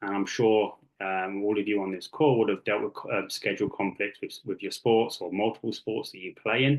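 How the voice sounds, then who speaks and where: A man's fairly low voice with an English accent and fairly even intonation. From England (Kent). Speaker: youth sports coach and technical director. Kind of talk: presentation. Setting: video call. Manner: many fillers (um, uh).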